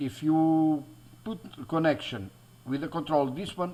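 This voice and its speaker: With a Portuguese accent, a man speaks in a fairly high voice with ordinary pitch variation. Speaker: DIY electronics YouTuber. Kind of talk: tutorial. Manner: halting, many fillers and restarts.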